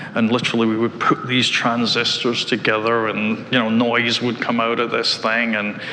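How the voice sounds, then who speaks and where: Hardly pausing, a speaker with a Scottish accent talks at a moderate pace in a monotone, flat voice of very even loudness, amid noticeable background noise. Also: man, medium pitch for a man. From Scotland, Glasgow. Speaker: tech executive. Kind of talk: interview. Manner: hesitant, many fillers.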